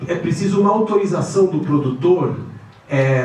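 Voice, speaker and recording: A man speaks at a fairly high pitch with ordinary pitch variation. Noticeable background noise and audible room echo surround his voice. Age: 60s. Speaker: finance executive and lecturer. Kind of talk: guest lecture. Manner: hesitant, many fillers.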